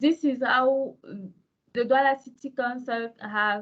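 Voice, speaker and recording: Her voice high and her intonation fairly even, a woman talks very slowly in a French accent. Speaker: city official presenter. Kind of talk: presentation.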